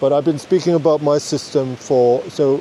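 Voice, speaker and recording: A man talks in a Danish accent. Noticeable background noise is present. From Denmark. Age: 50s. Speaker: podcast host. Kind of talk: unscripted monologue. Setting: outdoors in a forest. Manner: rambling, self-correcting.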